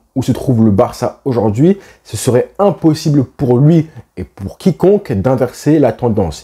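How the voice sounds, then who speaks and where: Over a silent background in a very clean recording, a man with a medium pitch and a dark, mellow tone speaks at a fairly slow pace, somewhat breathy, with lively intonation. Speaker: football YouTuber. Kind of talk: football opinion vlog.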